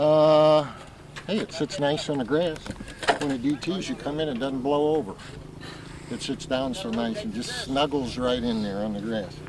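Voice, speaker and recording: A man with an American accent speaks at a moderate pace and fairly high pitch, with lively intonation. Long, frequent pauses break up his speech, and background noise is noticeable. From US Midwest, St. Louis area. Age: 50s. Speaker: model airplane flyer. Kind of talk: interview. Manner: casual, with many hesitations.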